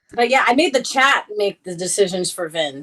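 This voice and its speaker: Fairly quick speech from a woman with an American accent. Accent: New York accent, stronger when angry. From New York. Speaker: Twitch streamer. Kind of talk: casual interview chat.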